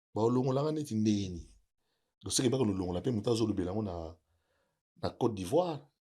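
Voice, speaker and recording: Using a dark, mellow tone and a fairly low pitch, a man speaks at a fairly quick pace with lively intonation and long, frequent pauses. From DR Congo, Kinshasa. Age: 60s. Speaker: music producer and provincial politician. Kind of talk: interview.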